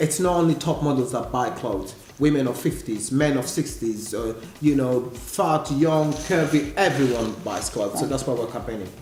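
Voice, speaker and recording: A man with an African accent talks at a moderate pace, medium pitch and ordinary pitch variation. Audible room echo and noticeable background noise surround him. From Africa, with Italian heritage. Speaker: model, casting director and presenter. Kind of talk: casual talk show interview.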